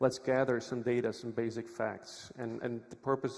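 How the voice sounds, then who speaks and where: A medium-pitched man with a Czech accent and monotone, flat intonation. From Czech Republic. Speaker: lawyer, conference speaker. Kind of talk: conference talk. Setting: stage with audience.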